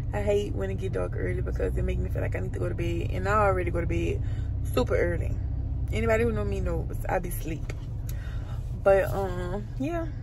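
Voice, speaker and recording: Over noticeable background noise, a woman with a very deep, low pitch makes very wide pitch swings and leaves long, frequent pauses, the sound dry with no echo. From Louisiana. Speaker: lifestyle vlogger. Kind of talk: casual vlog. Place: car. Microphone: phone near.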